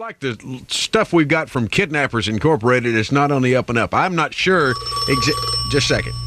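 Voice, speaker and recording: A fairly quick-talking man at medium pitch, his voice swinging very widely up and down. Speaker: radio DJ. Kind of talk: morning radio show host talk. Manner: playful, comic.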